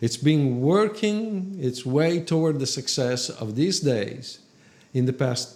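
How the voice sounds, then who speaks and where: The delivery is very slow, with lively intonation. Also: man. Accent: Italian. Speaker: film photographer. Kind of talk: educational talk to camera.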